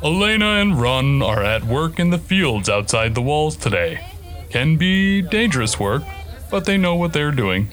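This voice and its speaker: Over clear background music, a man puts on a character voice at a fairly high pitch, keeping a moderate pace. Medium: audio drama. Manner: calm, brisk.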